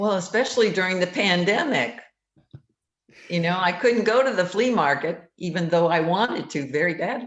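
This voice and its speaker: In a room with audible echo, a woman speaks with lively intonation. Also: medium pitch for a woman, moderate pace. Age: 70s. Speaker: painter. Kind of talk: radio interview.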